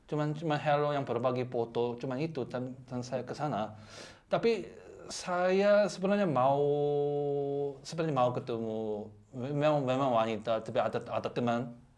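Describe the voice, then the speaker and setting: His pitch sits in the medium range for a man, his pace is moderate, and the man's pitch variation is ordinary. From South Korea. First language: Korean (speaking Indonesian). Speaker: guest, Korean husband. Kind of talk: casual chat. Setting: radio studio. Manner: halting, many repeated words.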